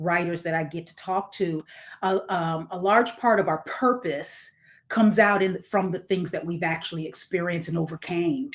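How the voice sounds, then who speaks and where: A woman of medium pitch speaks at a moderate pace with ordinary pitch variation. Hers is an ordinary speaking voice. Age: 60s. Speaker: podcast host. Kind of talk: interview.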